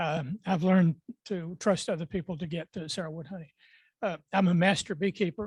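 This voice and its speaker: A man with an Appalachian accent speaks at a fairly quick pace and high pitch, with fairly even intonation. The recording is very clean with a silent background and a dry, close sound with no echo. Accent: Southern US (Appalachian North Carolina). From Western North Carolina mountains. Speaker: beekeeper, panel expert. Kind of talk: panel talk at club meeting. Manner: halting, many fillers.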